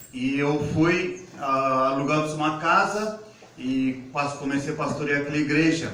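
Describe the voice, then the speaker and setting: Through audible room echo and noticeable background noise, a man with an Indian accent and a fairly high pitch speaks at a fairly slow pace. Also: ordinary pitch variation. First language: Indian language (speaking Portuguese). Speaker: pastor. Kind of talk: testimony.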